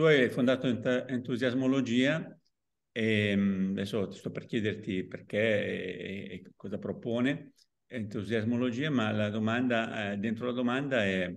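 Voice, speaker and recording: Speaking very slowly, a man keeps ordinary pitch variation. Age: 60s. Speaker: podcast host and author; podcast host. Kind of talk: interview. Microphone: video call.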